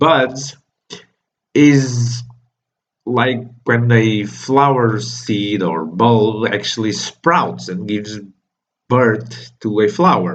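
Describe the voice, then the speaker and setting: The speaker has a non-native accent and lively intonation. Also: man. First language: not English. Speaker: manga reviewer, YouTuber. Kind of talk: casual video review monologue.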